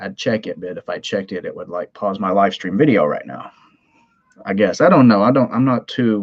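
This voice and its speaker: In a Southern US accent, a man talks at a fairly quick pace with big swings in loudness. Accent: Southern twang. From US South, Tennessee. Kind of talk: live stream chat. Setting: live stream from home computer. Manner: casual, rambling with fillers.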